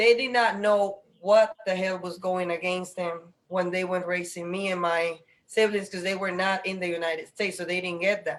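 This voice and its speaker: Speaking with an American accent, a woman keeps a moderate pace with hardly any pauses. Her medium-pitched delivery is monotone and flat. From Dominican Republic, then Virginia. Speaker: panel host, educator. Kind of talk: live panel discussion. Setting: video call.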